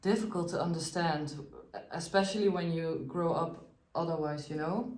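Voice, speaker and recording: A woman with a non-native accent speaks at a fairly low pitch and a moderate pace, with ordinary pitch variation. Audible room echo and noticeable background noise are present. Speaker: host's wife. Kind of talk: casual chat. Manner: halting.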